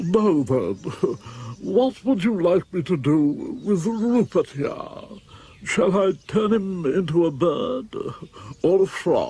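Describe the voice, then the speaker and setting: A man uses a put-on character voice with a high pitch. He speaks at a fairly slow pace with long, frequent pauses. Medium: short film. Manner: showy, mocking.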